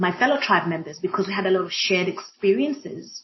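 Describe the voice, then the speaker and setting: A woman speaks in an East African accent at a medium pitch. She talks at a fairly quick pace. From Kenya. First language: Swahili. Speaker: diversity and inclusion practitioner. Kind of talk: panel conversation. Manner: hesitant, many fillers.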